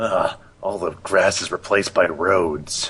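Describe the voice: A man speaks in a gruff, put-on character voice with a fairly low pitch. His pace is fairly slow.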